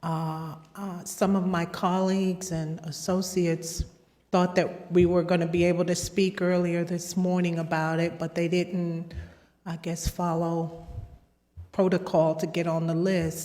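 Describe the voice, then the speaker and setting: The speaker is soft-spoken, with a fairly slow pace and monotone, flat intonation. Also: woman, fairly low pitch for a woman. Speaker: public commenter. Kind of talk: public comment. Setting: public meeting, board room. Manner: halting. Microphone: too far from mic at first.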